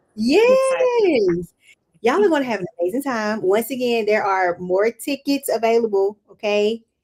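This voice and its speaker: A woman with a Southern accent speaks fairly slowly at a fairly high pitch with lively intonation. The sound is dry and close with no echo. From Mississippi. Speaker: podcast host. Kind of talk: casual chat. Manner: animated.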